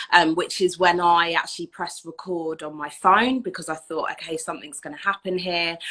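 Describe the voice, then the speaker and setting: With an English accent, a woman speaks at a fairly low pitch in a bright, sharp tone with fairly even intonation. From southern England. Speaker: anti-racism educator. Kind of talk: interview.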